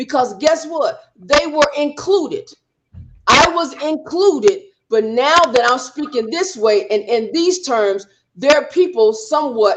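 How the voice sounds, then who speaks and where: Loud speech comes at a fairly slow pace. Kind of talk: panel discussion. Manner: outspoken.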